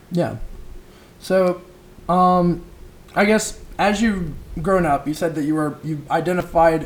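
A very slow delivery in an American accent, with fairly even intonation and long, frequent pauses. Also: man, high pitch for a man. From rural South Carolina. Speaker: student podcast host. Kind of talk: casual interview.

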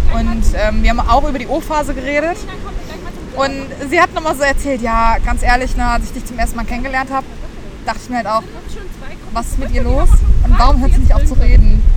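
A woman with a high voice talks at a fairly quick pace, with ordinary pitch variation and long, frequent pauses. There is audible room echo, and crowd noise fills the background. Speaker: podcast co-host, veterinary student. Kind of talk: casual chat. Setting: outdoors at a student orientation event.

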